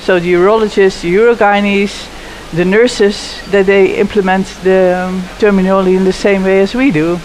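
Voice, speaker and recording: A woman speaks at a moderate pace and medium pitch with a Dutch accent and fairly even intonation. The room echo is audible and there is noticeable background noise. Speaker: pelvic health physiotherapist and researcher. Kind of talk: panel interview. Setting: conference live lounge. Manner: halting, with frequent fillers and restarts.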